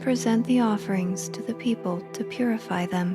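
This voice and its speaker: With music in the background, a woman speaks in a calm tone. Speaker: podcast host and Bible reader. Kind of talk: sleep Bible reading. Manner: calm, meditative.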